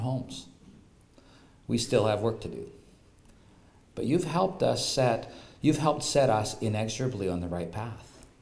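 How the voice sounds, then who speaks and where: Somewhat breathy and fairly low in pitch, a man talks at a moderate pace with lively intonation. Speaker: presenter. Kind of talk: formal speech read aloud. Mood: solemn, appreciative. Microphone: podium.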